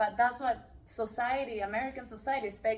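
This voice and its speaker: A woman speaks with a Peruvian accent. Her pitch is fairly high. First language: Spanish. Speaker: life coach and real estate investor. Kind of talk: interview conversation. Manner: loud; animated.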